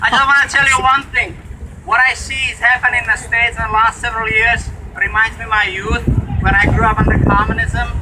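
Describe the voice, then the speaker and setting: A man with a Czech accent, raised and projecting, extremely high in pitch, at a very fast pace with fairly even intonation, over noticeable background noise. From Czech Republic. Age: 40s. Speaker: protest speaker. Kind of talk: protest speech.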